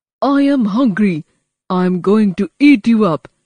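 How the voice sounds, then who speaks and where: In a put-on character voice, a woman growls at a moderate pace with a medium pitch. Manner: growling, threatening.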